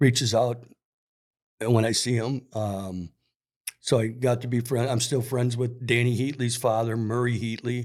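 A man with an American accent speaks at a moderate pace in a medium pitch, his intonation monotone and flat. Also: very clean recording, silent background. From Minnesota, US Upper Midwest. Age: 60s. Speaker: sporting goods store worker and youth hockey coach. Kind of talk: casual chat.

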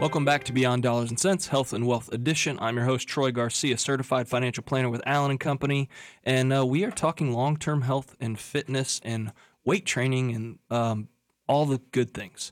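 A man with an ordinary speaking voice talks at a moderate pace and medium pitch with fairly even intonation, on a very clean recording with a silent background. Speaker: financial planner and radio host. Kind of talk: casual chat. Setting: studio.

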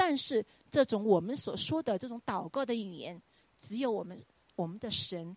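An unremarkable speaking voice from a woman at a medium pitch, with lively intonation and a dry, close sound with no echo. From China, Chongqing. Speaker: Chinese language professor. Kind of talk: testimony. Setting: church.

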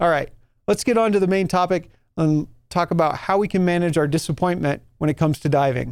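An American-accented man talks in a high voice with lively intonation. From New Mexico, US. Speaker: podcast host and scuba instructor. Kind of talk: casual solo podcast talk.

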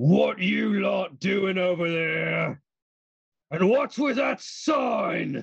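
Bellowing loudly in a put-on character voice, the speaker moves at a very slow pace. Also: man. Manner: bellowing, demanding.

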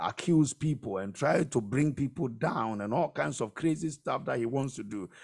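A man talks in an ordinary speaking voice at a medium pitch with lively intonation. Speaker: pastor or preacher leading prayer. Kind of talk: fervent prayer and declaration, sermon-like. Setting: live radio and online broadcast. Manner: commanding, intense, declaring blessings with rising urgency; loud, rhythmic, preacher-style cadence with repeated phrases.

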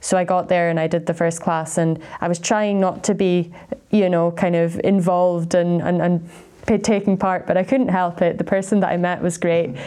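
This woman has a dark, mellow tone and a fairly low pitch, speaking at a moderate pace with fairly even intonation. Her loudness stays very even. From Scotland, Aberdeen. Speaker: PhD researcher. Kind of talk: interview. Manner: hesitant, with fillers and repeated words.

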